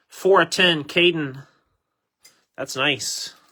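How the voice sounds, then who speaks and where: At a fairly slow pace, a man talks in a bright, sharp tone. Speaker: sports card group break host. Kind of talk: live card break commentary. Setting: home recording room. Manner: slightly slurred.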